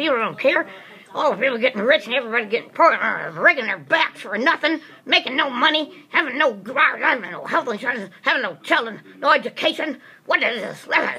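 A woman speaks at a fairly quick pace in a cartoonish character voice pitched high. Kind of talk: ventriloquist puppet comedy routine. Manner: agitated, ranting.

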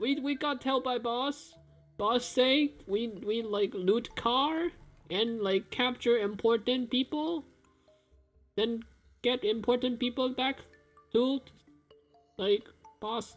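A man does a put-on character voice at an extremely high pitch, speaking very slowly with long, frequent pauses. Faint music plays in the background. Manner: frightened, pleading, broken speech.

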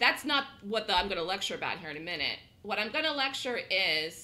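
A woman's animated, bright, sharp voice swings very widely in pitch and carries vocal fry. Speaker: day trading instructor. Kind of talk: live trading room lecture. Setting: online trading room broadcast.

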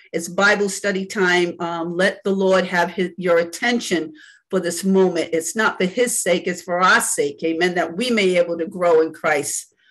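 A woman with a warm tone speaks at a moderate pace with hardly any pauses and fairly even intonation against a quiet background. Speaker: church elder leading Bible study. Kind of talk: Bible study teaching with opening prayer. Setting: video call. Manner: fervent, preacherly, with frequent praise; warm, conversational, halting with fillers. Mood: fervent, reverent. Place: home room. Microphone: video call.

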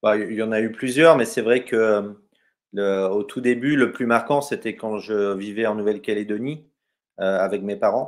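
A man's pitch varies in an ordinary way as he speaks fairly slowly in quiet surroundings. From Brittany, France. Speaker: travel photographer, former navy sailor; guest. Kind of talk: interview on a live stream. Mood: calm, reflective storytelling. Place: home room. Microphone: webcam.

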